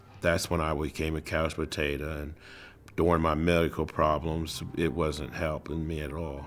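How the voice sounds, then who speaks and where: With music in the background, a man speaks in a very deep, low voice with monotone, flat intonation. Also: moderate pace. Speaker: product demonstrator. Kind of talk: interview testimony.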